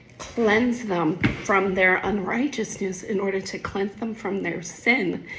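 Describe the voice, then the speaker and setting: A woman at a medium pitch, speaking at a very slow pace amid noticeable background noise. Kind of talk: casual Bible explanation. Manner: halting, with fillers.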